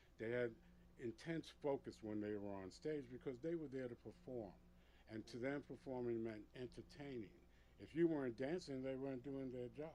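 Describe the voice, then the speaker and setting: A man speaks at a moderate pace, his medium-pitched voice carrying a dark, mellow tone. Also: ordinary pitch variation. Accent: New York. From New York City, Puerto Rican family. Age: 60s. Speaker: veteran club DJ. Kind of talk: interview storytelling. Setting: studio.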